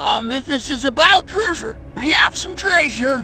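A high-pitched, put-on character voice speaks at a moderate pace. Clear music plays in the background. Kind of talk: fantasy role-play.

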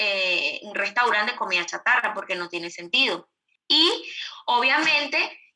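The woman's intonation is lively. She talks at a fairly slow pace. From Venezuela. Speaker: influencer and digital marketing entrepreneur. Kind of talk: interview conversation. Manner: hesitant with repeated words and fillers.

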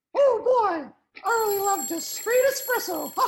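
At a moderate pace, someone performs a put-on character voice at an extremely high pitch. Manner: cheerful.

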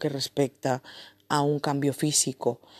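A woman speaks at a fairly slow pace with a very deep, low pitch and a dark, mellow tone. The sound is dry and close with no echo, over a quiet background. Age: 20s. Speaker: podcast host. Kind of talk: motivational talk.

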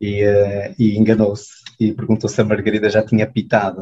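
A man speaks at a moderate pace. His voice is fairly low, with a dark, mellow tone. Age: 30s. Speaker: clinic manager, former volunteer. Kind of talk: casual interview.

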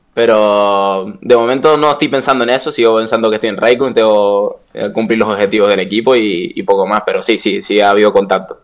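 An ordinary speaking voice moves at a fairly quick pace. There are hardly any pauses, and pitch varies in an ordinary way. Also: man, medium pitch for a man. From Canary Islands, Spain. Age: 20s. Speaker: esports video game player. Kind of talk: casual interview.

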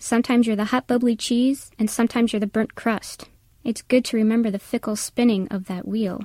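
In a very clean recording with a silent background, a woman talks at a fairly quick pace with fairly high pitch and fairly even intonation. Her voice is somewhat breathy with a dark, mellow tone and a dry, close sound with no echo. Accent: American. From Wisconsin, US Midwest. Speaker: college professor, essayist. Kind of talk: reading aloud a personal essay.

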